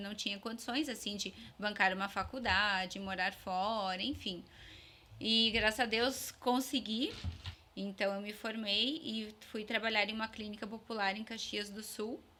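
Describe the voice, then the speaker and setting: A woman talks at a fairly slow pace in a fairly high voice. Her tone is bright and sharp, and her intonation stays fairly even. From Vacaria, Rio Grande do Sul, Brazil. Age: 30s. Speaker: dentist. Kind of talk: interview.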